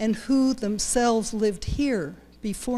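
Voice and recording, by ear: Someone reads aloud here in a natural voice.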